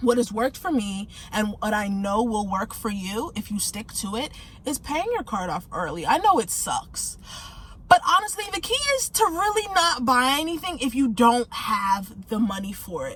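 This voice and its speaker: The speech moves at a moderate pace with very wide pitch swings. Background noise is noticeable. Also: woman, high pitch for a woman. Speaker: finance vlogger. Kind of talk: casual tutorial vlog. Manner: casual, conversational.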